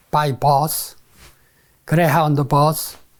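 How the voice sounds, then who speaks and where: In a Korean accent, a man with a fairly high pitch talks at a very slow pace on a very clean recording with a silent background. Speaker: retired civil engineer. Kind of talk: interview answer.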